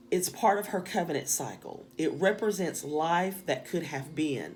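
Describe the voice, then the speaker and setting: Here a woman speaks with a strong Southern US accent at a fairly low pitch, with ordinary pitch variation. Audible room echo is present. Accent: strong Southern drawl and country twang. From US South. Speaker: spiritual teacher. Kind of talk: lecture.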